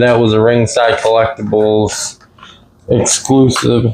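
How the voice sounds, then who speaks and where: Over noticeable background noise, a man of medium pitch speaks with very even loudness. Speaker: toy collector youtuber. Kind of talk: unboxing review. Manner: casual, self-correcting.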